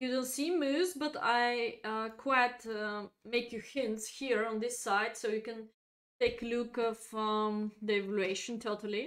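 With a non-native accent, a woman talks at a fairly slow pace in a fairly high voice against a quiet background. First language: not English. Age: 30s. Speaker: chess grandmaster and streamer. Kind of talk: chess lesson livestream. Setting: live stream.

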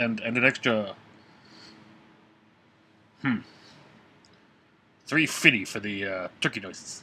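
Slowly and with long, frequent pauses, a man does a cartoonish character voice at a fairly low pitch, the tone bright and sharp with a slightly husky edge and ordinary pitch variation.

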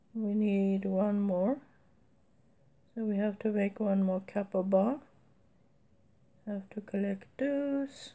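Somewhat breathy and dark, mellow in tone, a woman's medium-pitched voice moves at a very slow pace with ordinary pitch variation and long, frequent pauses. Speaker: mobile game let's play creator. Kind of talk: gameplay commentary. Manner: casual, thinking aloud.

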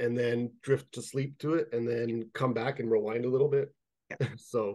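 A man's dark, mellow voice against a quiet background. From Canada, Toronto (Jane and Finch area). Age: 30s. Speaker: fantasy writer. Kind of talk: casual interview chat. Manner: halting, many fillers and repetitions. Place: home room. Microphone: webcam.

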